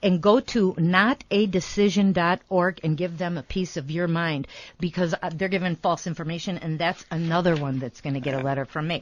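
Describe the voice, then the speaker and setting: A woman at a fairly quick pace with hardly any pauses and ordinary pitch variation, over a quiet background. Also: fairly low pitch for a woman. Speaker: radio talk show host; certified wellness coach. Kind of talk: casual radio chat with rant. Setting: radio studio. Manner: fast; animated.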